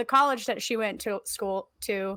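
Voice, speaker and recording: A woman speaks at a moderate pace in a bright, sharp tone with ordinary pitch variation, on a very clean recording with a silent background. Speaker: history podcast co-host. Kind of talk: casual history presentation. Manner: halting, many fillers.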